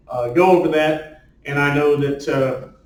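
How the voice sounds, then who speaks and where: Over noticeable background noise and audible room echo, a man talks with fairly even intonation. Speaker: screenwriter and novelist. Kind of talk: talk to a writers' group. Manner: loud; rambling with many fillers.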